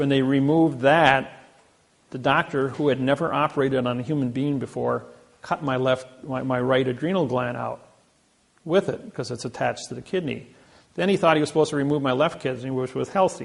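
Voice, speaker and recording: A man with a medium pitch talks fairly quickly, his pitch varying in an ordinary way. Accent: Midwestern US. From Indiana. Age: 60s. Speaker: lecturer. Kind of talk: lecture.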